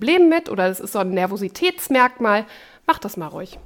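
A woman speaks in a plain, everyday voice at a medium pitch and moderate pace. It is a very clean recording, silent background. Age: 30s. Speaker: radio host and co-host. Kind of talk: casual chat.

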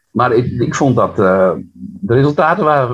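Medium pitch from a somewhat breathy man, with very wide pitch swings. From Netherlands, Friesland near Harlingen. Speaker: poet. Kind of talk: interview and poetry reading.

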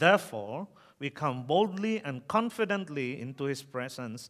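Lively intonation marks this voice with a Filipino accent, recorded very cleanly against a silent background. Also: man. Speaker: preacher. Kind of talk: sermon. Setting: church. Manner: halting.

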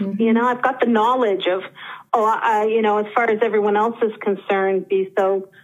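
A woman's fairly high voice with fairly even intonation at a moderate pace, over noticeable background noise. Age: 50s. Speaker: caller seeking coaching. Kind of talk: personal coaching conversation. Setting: phone call.

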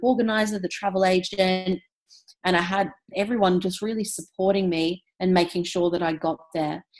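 In an Australian accent, a woman speaks at medium pitch and a moderate pace with monotone, flat intonation. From Australia, Brisbane. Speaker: entrepreneur. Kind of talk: interview.

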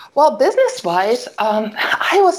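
Noticeable background noise is heard as a woman talks at a very slow pace. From Germany, Solingen area. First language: German. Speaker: family and wedding photographer. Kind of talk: casual interview. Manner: hesitant, many fillers.

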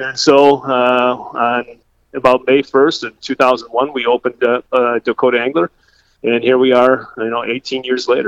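At a fairly slow pace, a man with an Upper Midwest accent talks at medium pitch in a monotone, flat intonation. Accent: Upper Midwest American. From southwest Minnesota. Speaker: bait shop owner and meteorologist. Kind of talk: casual interview.

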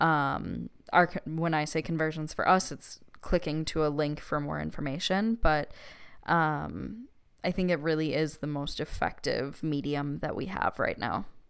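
Recorded very cleanly against a silent background, a woman with a Midwestern accent speaks at a very deep, low pitch and a fairly slow pace, with ordinary pitch variation. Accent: Midwest. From Wisconsin. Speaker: podcast co-host, social media marketer. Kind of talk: casual chat.

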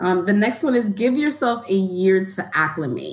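A woman with a New York accent, big pitch swings and a moderate pace. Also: medium pitch for a woman.

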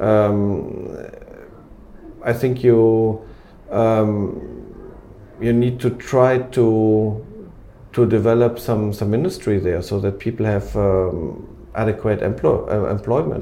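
A man with a German accent speaks at a very slow pace, with long, frequent pauses. His fairly low pitch has fairly even intonation, and audible room echo surrounds the voice. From Germany, Cologne. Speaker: company executive. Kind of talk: interview.

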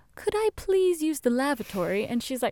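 A woman with an American accent speaks high in pitch with very wide swings, the sound dry and close with no echo. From Indonesia (American family). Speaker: podcast co-host. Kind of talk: casual chat.

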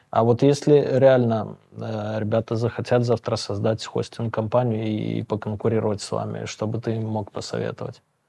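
A man's medium-pitched, dark and mellow voice at a moderate pace, monotone and flat, with hardly any pauses and a quiet background. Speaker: podcast host. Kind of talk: interview. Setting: studio.

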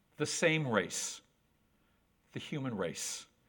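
Speaking fairly slowly, a man uses an American accent. His pitch swings very widely. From upstate New York. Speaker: author. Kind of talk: lecture. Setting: stage with audience.

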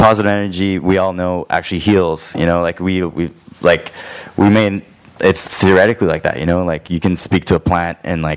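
A man with a Canadian accent and a very deep, low voice talks at a moderate pace with fairly even intonation. Noticeable background noise can be heard. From Toronto, Canada. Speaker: musician. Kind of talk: casual chat. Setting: studio.

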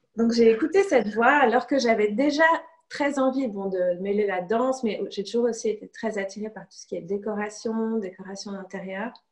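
A woman with a plain, everyday voice, a fairly high pitch, ordinary pitch variation, big swings in loudness, and a moderate pace. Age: 30s. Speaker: illustrator. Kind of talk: interview.

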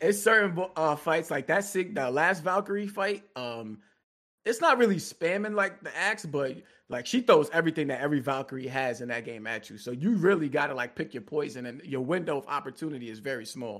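A man's fairly high voice at a fairly quick pace, with very wide pitch swings and big swings in loudness. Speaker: guest co-host, gaming commentator. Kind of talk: casual chat. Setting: video call.

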